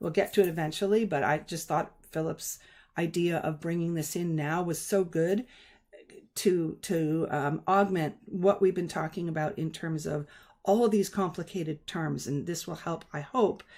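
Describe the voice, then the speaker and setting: A woman's normal speaking voice, at a moderate pace with ordinary pitch variation. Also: fairly low pitch for a woman, very clean recording, silent background. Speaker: live stream host and spiritual teacher. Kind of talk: live stream discussion explaining concepts. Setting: live stream.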